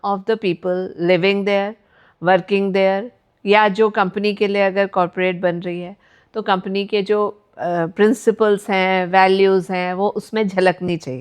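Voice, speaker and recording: A woman speaks with monotone, flat intonation at a medium pitch over a quiet background. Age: 50s. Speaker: architect and entrepreneur. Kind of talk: interview. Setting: studio. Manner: hesitant, many filler sounds.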